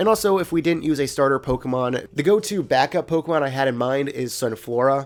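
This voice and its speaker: A man at a fairly high pitch, talking very fast with ordinary pitch variation, music playing in the background. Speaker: gaming video creator. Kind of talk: casual gaming commentary.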